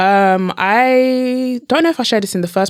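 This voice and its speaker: The voice has a British accent, heard on a very clean recording with a silent background. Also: woman. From London, England. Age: 20s. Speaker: motivational speaker and author. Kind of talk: podcast interview.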